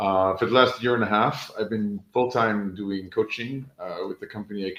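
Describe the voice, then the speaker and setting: A normal speaking voice with an American accent. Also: man. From New York, US. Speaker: education coach and author. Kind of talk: panel introduction.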